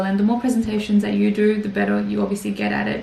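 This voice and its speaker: Over clear room echo and noticeable background noise, a woman can be heard. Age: 20s. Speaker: YouTuber and risk manager. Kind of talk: presentation talk. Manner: fast; frequent filler words.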